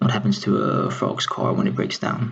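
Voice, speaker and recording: A quiet man at a moderate pace. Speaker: salesperson. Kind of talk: job interview answer. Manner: quiet, low volume.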